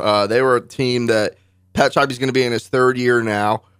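An unremarkable speaking voice moves at a fairly quick pace with fairly even intonation, in a dry, close sound with no echo. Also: man. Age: 20s. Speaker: sports radio host and reporter. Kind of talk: radio interview. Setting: radio studio.

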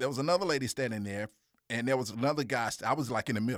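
With a Mississippi accent, a man talks at a medium pitch. His pitch variation is ordinary. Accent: Southern US (Mississippi). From US South, Jackson, Mississippi. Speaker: videographer and TV/radio producer. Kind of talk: casual interview. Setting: studio.

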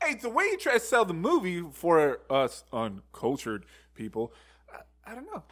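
A man at a moderate pace with big swings in loudness. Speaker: podcast co-host. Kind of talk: casual banter, reading fun facts aloud. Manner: sarcastic, joking, profane.

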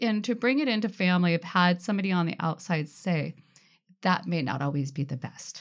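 A woman in an American accent, a normal speaking voice pitched fairly low, with lively intonation, on a very clean recording with a silent background. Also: fairly quick pace. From Washington State, Tacoma area. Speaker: birth mother. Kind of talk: casual chat. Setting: studio.

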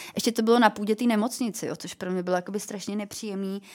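Over noticeable background noise, a woman of medium pitch talks at a very fast pace with ordinary pitch variation. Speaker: former fashion model and cancer survivor. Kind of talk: interview. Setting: studio.

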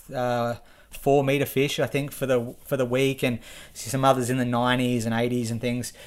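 A man's medium-pitched voice with an Australian accent at a moderate pace, on a very clean recording with a silent background. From Victoria, Australia (Shepparton). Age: 30s. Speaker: angler. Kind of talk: casual chat. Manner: halting.

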